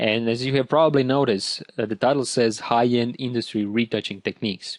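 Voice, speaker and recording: With a Croatian accent, a man speaks at a medium pitch and a fairly quick pace, using fairly even intonation in a dry, close sound with no echo. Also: quiet background. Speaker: photo retouching instructor. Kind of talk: tutorial.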